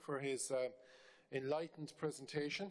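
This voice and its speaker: A man speaks in an Irish accent. He talks at a moderate pace with ordinary pitch variation. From Ireland. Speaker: member of parliament. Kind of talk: parliamentary committee question. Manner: halting with fillers.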